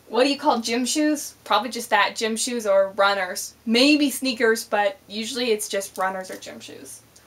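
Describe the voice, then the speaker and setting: A woman talks while noticeable background noise carries on underneath. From Canada. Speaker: vlogger. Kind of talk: casual vlog, accent tag.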